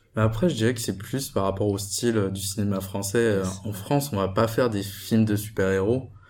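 A man at fairly low pitch and moderate pace, with fairly even intonation, hardly any pauses and audible room echo. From Guadeloupe. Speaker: engineering student. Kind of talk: casual chat.

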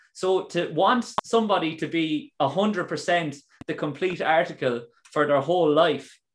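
A man with an Irish accent speaks at a high pitch. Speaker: podcast host. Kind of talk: casual interview chat. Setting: video call.

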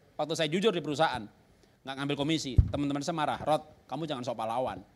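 Raised and projected, a man's bright, sharp voice races along at a very fast pace with an animated tone. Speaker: pastor. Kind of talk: sermon.

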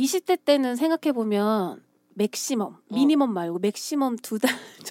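The speaker talks at a fairly slow pace with lively intonation and a dark, mellow tone. The sound is dry and close with no echo, and the loudness swings widely. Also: woman, high pitch for a woman. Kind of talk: casual chat. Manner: trying to speak in a prettier tone.

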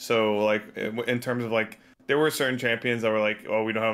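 A man speaks with an American accent at a fairly low pitch, his intonation monotone and flat. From Texas. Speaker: esports coach. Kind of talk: casual chat. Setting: video call.

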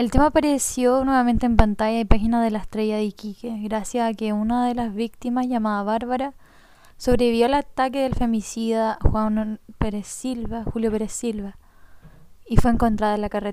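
At a moderate pace, a woman speaks in a fairly high, monotone, flat voice. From northern Chile (Alto Hospicio, Tarapacá). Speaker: podcast narrator and journalist. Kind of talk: scripted narration.

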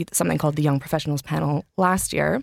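On a very clean recording with a silent background, a woman with a Canadian accent speaks in a very deep, low voice, the sound dry and close with no echo. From Canada. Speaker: podcast host and urban planner. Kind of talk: casual chat. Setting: studio. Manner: hesitant, many fillers.

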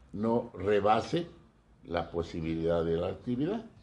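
Against a quiet background, a man with a dark, mellow tone talks at a fairly slow pace. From Mexico, Guanajuato. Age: 80s+. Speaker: retiree and former academic administrator. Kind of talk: casual interview. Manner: formal.

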